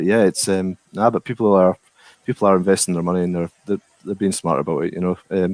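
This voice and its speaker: A man's very deep, low voice with a Scottish accent, fairly even intonation and a very fast pace. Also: dry, close sound with no echo. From Scotland. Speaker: distillery worker. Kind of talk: casual chat.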